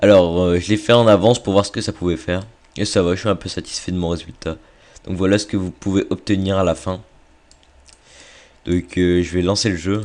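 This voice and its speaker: A man's very deep, low voice at a moderate pace, monotone and flat, broken by long, frequent pauses. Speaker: video game tutorial maker. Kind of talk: tutorial. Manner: casual with many hesitations.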